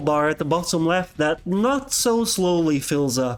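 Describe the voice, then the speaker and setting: A man with a non-native accent speaks at a high pitch. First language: not English. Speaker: game reviewer. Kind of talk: video game review narration. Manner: casual, humorous.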